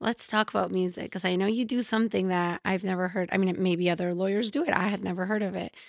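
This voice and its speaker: Very fast speech from a woman with a Spanish accent, medium pitch, fairly even intonation and a quiet background. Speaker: podcast host. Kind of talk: casual chat. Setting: at guest's house.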